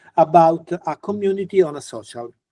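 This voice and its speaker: The man has a dark, mellow tone and a high pitch, with an Italian accent and ordinary pitch variation. The background is quiet. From Italy. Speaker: physicist, university professor; university professor. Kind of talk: lecture. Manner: halting. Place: home room. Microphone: video call.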